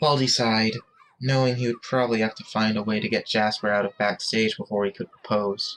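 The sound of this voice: The pace is fairly quick, with little pitch movement. Its tone is fairly bright.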